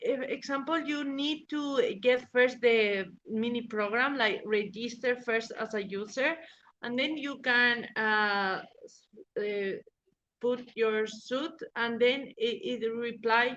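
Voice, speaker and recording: Speaking at a very slow pace, a woman with a Spanish accent uses a high pitch and ordinary pitch variation. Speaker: legal professional. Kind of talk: interview. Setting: podcast interview. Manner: halting, many fillers.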